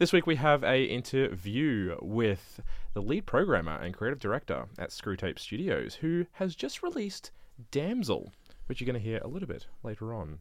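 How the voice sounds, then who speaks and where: A man speaks at medium pitch and a moderate pace, with vocal fry. His pitch swings very widely against a quiet background. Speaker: assistant co-host and interviewer. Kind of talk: casual radio chat.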